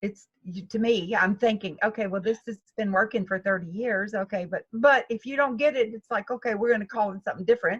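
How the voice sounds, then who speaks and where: A woman talks with hardly any pauses. Her voice is somewhat breathy. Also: fairly high pitch for a woman, ordinary pitch variation, fairly quick pace, dry, close sound with no echo. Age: 70s. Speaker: golf instructor. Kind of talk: interview.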